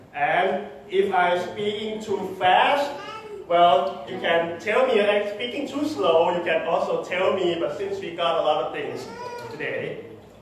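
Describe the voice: The speech moves at a fairly slow pace with ordinary pitch variation and strong room echo. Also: man, high pitch for a man.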